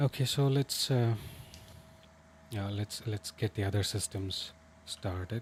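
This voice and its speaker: A man with a Tamil accent speaks in a fairly low, somewhat breathy voice. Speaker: flight sim streamer. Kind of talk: live gaming stream commentary. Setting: livestream with chat. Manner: hesitant, many fillers.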